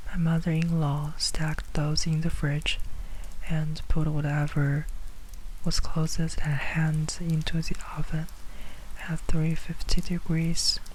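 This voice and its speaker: The speaker is whispering at a fairly slow pace. Long, frequent pauses break up the speech. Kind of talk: ASMR story reading. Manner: whispered.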